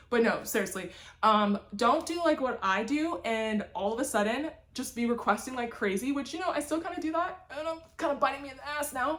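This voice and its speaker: Over noticeable background noise, a woman speaks in a high pitch with an animated tone. Her intonation is lively. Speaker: booktuber. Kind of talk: casual vlog chat. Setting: home library on camera. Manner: fast.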